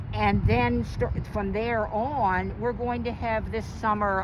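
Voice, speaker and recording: A woman with an American accent talks amid noticeable background noise, with some room echo audible. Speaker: librarian. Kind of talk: casual interview.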